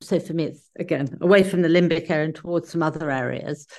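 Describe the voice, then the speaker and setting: With a British accent, a woman speaks at a very fast pace against a quiet background. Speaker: podcast co-host living with Parkinson's. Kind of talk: casual chat. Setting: video call.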